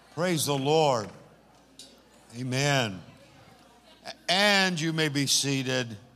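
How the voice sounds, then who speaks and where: A man with a fairly high pitch, a bright, sharp tone, and lively intonation, at a very slow pace with long, frequent pauses, in audible room echo. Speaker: pastor. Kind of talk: church service address. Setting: church. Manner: animated.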